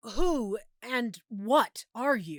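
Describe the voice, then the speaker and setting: A woman puts on a character voice at a fairly high pitch, swinging very widely in pitch. The sound is dry and close with no echo. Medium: read story.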